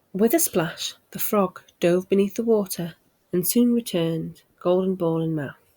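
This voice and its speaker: In a British accent, a soft-spoken woman talks at a fairly slow pace with a calm tone. Her voice has a dark, mellow tone and fairly even intonation. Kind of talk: bedtime story reading. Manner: calm, soft-spoken.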